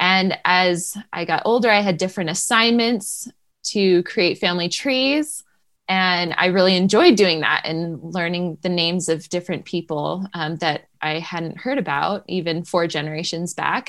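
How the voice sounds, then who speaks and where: A plain, everyday voice speaks at a fairly slow pace with ordinary pitch variation, on a very clean recording with a silent background. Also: woman, fairly low pitch for a woman. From New Hampshire, US. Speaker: homeschooling mother and family historian. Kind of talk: interview.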